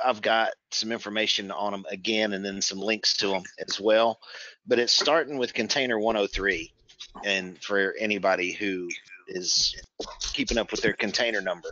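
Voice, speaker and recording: A normal speaking voice: a man at a fairly low pitch with fairly even intonation, moderate pace, and a dry sound with no echo. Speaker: presenter. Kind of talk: webinar presentation. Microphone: video call.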